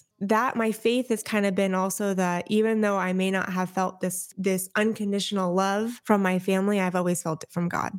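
In a very clean recording with a silent background, a woman with an American accent speaks at a moderate pace and medium pitch, her intonation flat and monotone, with hardly any pauses. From Southern California, Orange County. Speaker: motivational speaker. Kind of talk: podcast interview.

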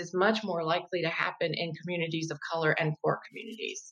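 A woman speaks in an ordinary speaking voice. Her pitch is medium and her pace fairly quick. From raised in Italy and Germany, US military family. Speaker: professor and race communication educator. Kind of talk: interview on faith and race.

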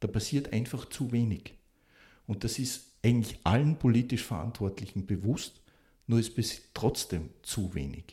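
A man speaks at a fairly slow pace in a medium pitch, his dark, mellow tone somewhat breathy, with ordinary pitch variation. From Austria, Salzburg (Pongau). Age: 50s. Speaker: civil engineering professor. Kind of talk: expert interview.

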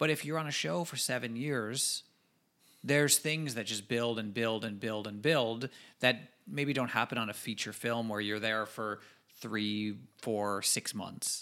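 At a fairly slow pace, a man with medium pitch, ordinary pitch variation and an unremarkable speaking voice talks. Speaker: podcast co-host. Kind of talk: casual chat.

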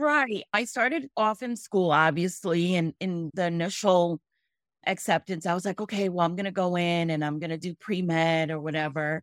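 A woman with an ordinary speaking voice and an American accent, fairly low in pitch with ordinary variation, at a moderate pace, in a dry, close sound with no echo on a very clean recording with a silent background. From Angola and Botswana, US from age six. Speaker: small business owner. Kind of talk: interview.

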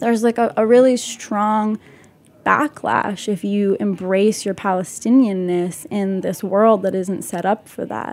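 A woman talks in an ordinary speaking voice with an American accent. Her pace is fairly slow, her pitch medium, with ordinary pitch variation. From Utah and the West Bank. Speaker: chef and artist. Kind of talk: casual chat.

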